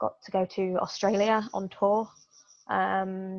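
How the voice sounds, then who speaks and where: A woman with an English accent speaks at a very slow pace. Her pitch is medium, and the background is quiet. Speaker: pro wrestler. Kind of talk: interview. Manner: halting.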